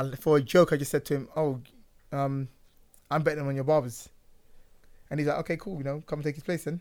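On a very clean recording with a silent background, a man with a London accent speaks at a very fast pace in a fairly high pitch, with fairly even intonation and long, frequent pauses. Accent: London English (Multicultural London English). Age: 30s. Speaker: barber. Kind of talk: casual chat. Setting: studio.

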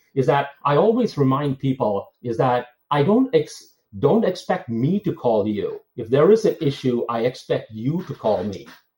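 The voice is dark, mellow and somewhat breathy. Its pitch makes very wide swings. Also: man, fairly high pitch for a man, moderate pace. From India, Bangalore. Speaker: tech executive. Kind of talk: interview.

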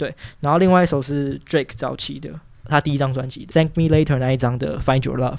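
This man's pitch is fairly high, and he moves at a fairly quick pace. His intonation is fairly even. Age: young. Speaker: podcast guest, young hip hop fan. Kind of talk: casual chat.

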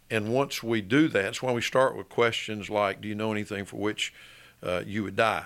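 Talking at a fairly quick pace, a man with an Alabama accent has a fairly low pitch and fairly even intonation. The recording is very clean, with a silent background. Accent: Southern US (Alabama). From Birmingham, Alabama (US South). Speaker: attorney. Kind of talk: interview.

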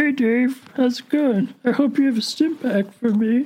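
A female-sounding, put-on character voice is pitched high. It moves at a moderate pace. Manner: silly, comedic.

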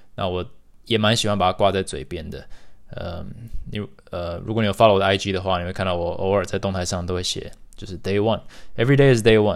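At a very fast pace, a man with a fairly low pitch speaks with ordinary pitch variation and big swings in loudness. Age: 30s. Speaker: podcast host. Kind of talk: solo monologue podcast.

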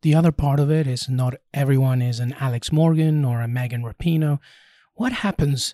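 A somewhat breathy man with a dark, mellow tone and fairly high pitch, recorded dry and close with no echo, at a moderate pace with ordinary pitch variation. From Peru. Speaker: sports podcast host. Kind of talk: interview.

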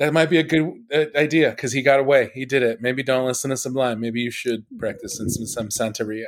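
A man with an American accent in a normal speaking voice, at a moderate pace and with ordinary pitch variation. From Los Angeles. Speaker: stand-up comedian. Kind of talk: casual chat.

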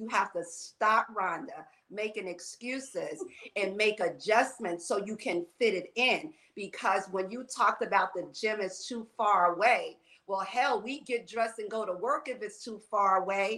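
A woman with an American accent speaks fairly slowly in a bright, sharp tone, with fairly high pitch and ordinary pitch variation. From New York. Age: 60s. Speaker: fitness and wellness coach. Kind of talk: casual chat.

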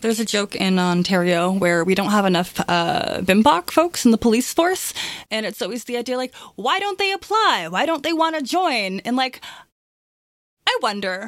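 Pitch swinging very widely, a woman with a Canadian accent talks at a moderate pace. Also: fairly high pitch for a woman. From Toronto, Canada. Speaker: tabletop game player. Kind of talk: casual discussion.

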